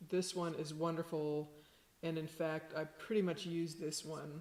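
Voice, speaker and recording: A woman talks at a fairly slow pace in a flat monotone. Her pitch is fairly low. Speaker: sound healer. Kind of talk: tutorial.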